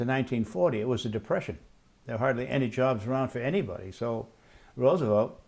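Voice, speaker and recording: Talking at a very fast pace, a man with an American accent uses a medium pitch and ordinary pitch variation. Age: old. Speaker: elderly family-history interviewee. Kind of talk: oral history interview. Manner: halting, many fillers.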